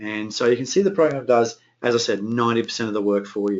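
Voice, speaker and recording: The man's voice is medium in pitch, with ordinary pitch variation. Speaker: software presenter. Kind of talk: webinar software demonstration. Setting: online webinar. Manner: fast; hesitant, many fillers.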